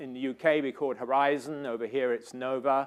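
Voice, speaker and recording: In a British accent, the speaker goes at a moderate pace in a very clean recording with a silent background. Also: man. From Britain. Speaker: scientist and research director. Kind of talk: lecture. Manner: hesitant with fillers.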